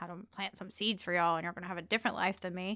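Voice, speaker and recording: A woman speaks at medium pitch with a Southern US accent. The recording is very clean, with a silent background. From US South, Georgia (near Savannah). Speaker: magazine editor and storyteller. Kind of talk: personal testimony.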